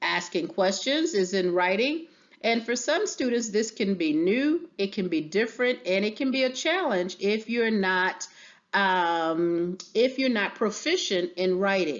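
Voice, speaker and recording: A woman's normal speaking voice, medium in pitch, with lively intonation, very even loudness and a fairly slow pace. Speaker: teacher. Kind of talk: tutorial.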